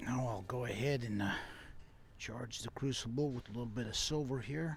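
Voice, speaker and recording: Here a man speaks with fairly even intonation. His voice is somewhat breathy. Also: medium pitch for a man, moderate pace. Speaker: YouTube hobbyist metal refiner. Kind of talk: hands-on tutorial narration.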